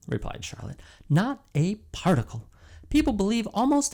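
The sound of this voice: The speaker uses an unforced reading voice. Nothing else is noted.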